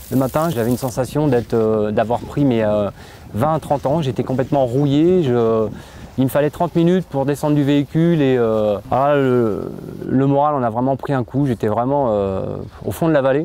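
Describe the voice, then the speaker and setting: Noticeable background noise sits behind a man speaking at medium pitch and a moderate pace. His loudness stays very even, with ordinary pitch variation. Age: 30s. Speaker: patient with spondylitis. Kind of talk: testimony interview. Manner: halting.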